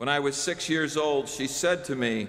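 A man's bright, sharp tone at a very slow pace. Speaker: preacher. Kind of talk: sermon. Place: church. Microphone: podium.

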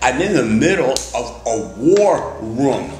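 A man speaks at a slow pace with big pitch swings around a medium pitch and a slightly mellow tone, with audible room echo and faint music in the background.

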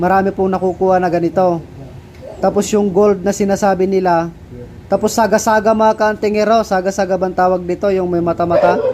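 A high-pitched man's monotone, flat and fairly quick, very even in loudness, over noticeable background noise. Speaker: folk amulet maker vlogger. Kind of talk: video demonstration.

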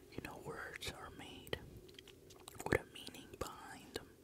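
Whispering at a very slow pace, the voice has a gentle tone. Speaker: ASMR creator. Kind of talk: ASMR trigger-word whisper. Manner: whispered, gentle, sleepy, close-up. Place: home room. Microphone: handheld.

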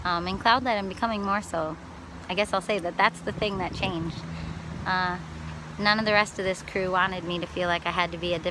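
Fairly quick speech in an American accent with ordinary pitch variation, a dry sound with no echo and noticeable background noise. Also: woman. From Wisconsin. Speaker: touring musician and vlogger. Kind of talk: casual video diary. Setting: outdoors by water. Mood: happy, relaxed. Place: waterside. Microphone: phone near.

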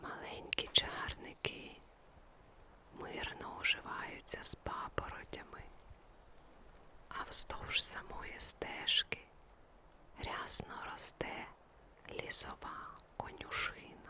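A woman whispers in a calm tone at a very slow pace. Her speech has long, frequent pauses over noticeable background noise. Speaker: ASMR sleep story narrator. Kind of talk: guided sleep story. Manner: slow, calm.

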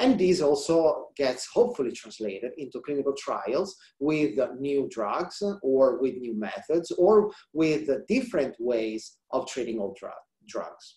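A man with an Italian accent and a dark, mellow tone speaks at a fairly high pitch and fairly slow pace, with very wide pitch swings, audible room echo and a quiet background. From central Italy. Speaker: research scientist; presenter. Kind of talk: scientific presentation. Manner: halting, many fillers. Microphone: webcam.

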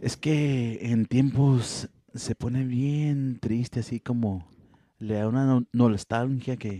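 At a very slow pace, a man speaks in a medium pitch with a dark, mellow tone and fairly even intonation, the sound dry and close with no echo. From Coahuila, Mexico.

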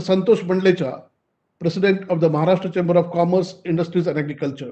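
Against a quiet background, a man with an Indian accent speaks at a very fast pace, high in pitch, with fairly even intonation. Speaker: event moderator. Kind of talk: formal speech. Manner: formal. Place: home room. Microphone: video call.

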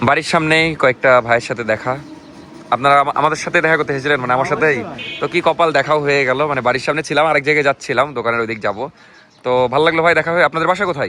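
A man's fairly high voice shows ordinary pitch variation, with noticeable noise behind it. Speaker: vlogger. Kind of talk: casual vlog narration.

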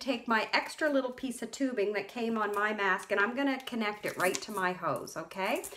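A woman is speaking. Her pace is moderate. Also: fairly bright tone.

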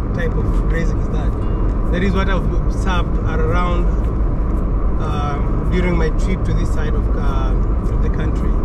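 Music plays in the background. The speech is broken by long, frequent pauses. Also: moderate pace. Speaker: travel vlogger driving. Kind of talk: casual vlog commentary. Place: car. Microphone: camera far.

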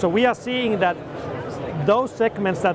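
A man talks with ordinary pitch variation over clear background noise.

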